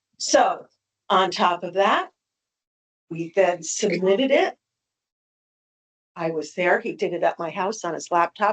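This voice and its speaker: At a fairly slow pace, a woman speaks at a medium pitch in a dry, close sound with no echo. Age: 60s. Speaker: appellant property owner. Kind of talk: public hearing testimony. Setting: town board meeting.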